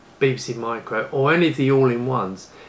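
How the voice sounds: Amid audible room echo, a man talks at a fairly quick pace. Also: medium pitch for a man, ordinary pitch variation.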